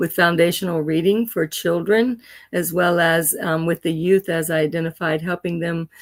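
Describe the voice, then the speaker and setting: A woman's fairly low-pitched, plain, everyday voice at a moderate pace, fairly even in intonation, on a very clean recording with a silent background. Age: 60s. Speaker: educator. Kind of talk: interview.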